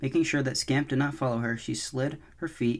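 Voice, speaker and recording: A man's fairly quick delivery keeps a medium pitch and fairly even intonation. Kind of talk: soft-spoken ASMR audiobook reading. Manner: soft-spoken.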